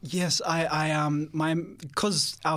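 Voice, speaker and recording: In a very clean recording with a silent background, a man with a fairly high pitch speaks fairly slowly in a monotone, flat intonation. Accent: Australian. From Sydney, Australia. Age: 20s. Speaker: theology student. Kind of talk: interview testimony. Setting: studio. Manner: halting.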